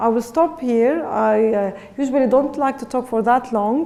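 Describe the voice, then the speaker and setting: Amid noticeable background noise and audible room echo, a woman speaks with a fairly high pitch and fairly even intonation. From Lebanon. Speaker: education researcher. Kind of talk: lecture. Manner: halting.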